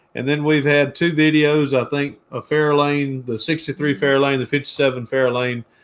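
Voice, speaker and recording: Speaking at a moderate pace with hardly any pauses, a man with a Georgia accent uses a fairly high pitch. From US South, Georgia (Jackson, near Atlanta). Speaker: car restoration YouTuber. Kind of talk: casual interview chat. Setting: live stream.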